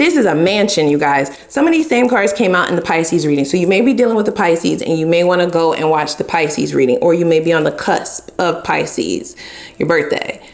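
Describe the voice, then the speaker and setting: Fairly quick, lively speech from a fairly low-pitched woman, hardly any pauses and very even loudness, over noticeable background noise. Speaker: tarot reader. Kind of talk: tarot reading. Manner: animated.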